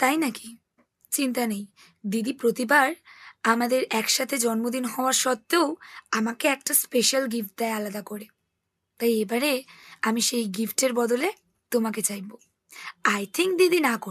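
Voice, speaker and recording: A put-on, raspy character voice from a woman, fairly high in pitch, at a moderate pace with ordinary pitch variation. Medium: audio drama.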